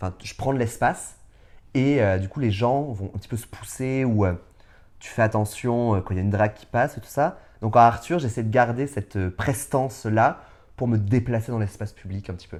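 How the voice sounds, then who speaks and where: On a very clean recording with a silent background, a man at medium pitch talks at a fairly quick pace with ordinary pitch variation and big swings in loudness. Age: 30s. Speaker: drag artist. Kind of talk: interview. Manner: halting, many fillers.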